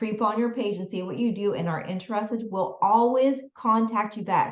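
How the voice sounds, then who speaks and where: With a normal speaking voice, a woman talks at a moderate pace in a fairly high pitch, her intonation fairly even. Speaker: business and mindset coach. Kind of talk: online masterclass.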